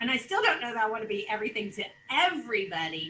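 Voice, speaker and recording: A loud woman speaks at a moderate pace with very wide pitch swings over noticeable background noise. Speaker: real estate office leader. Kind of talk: sales meeting presentation. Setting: video call.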